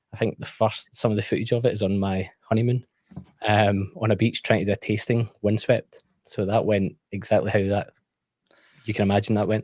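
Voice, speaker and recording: A man with a Scottish accent, fairly low in pitch and fairly quick in pace, with monotone, flat intonation and a dry, close sound with no echo. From Scotland. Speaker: whisky YouTuber. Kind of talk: casual chat.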